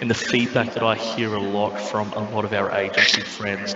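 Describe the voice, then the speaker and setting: A man speaks in a flat monotone with fairly low pitch at a moderate pace. There is noticeable background noise behind him. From Australia. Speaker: airline representative. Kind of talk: webinar presentation.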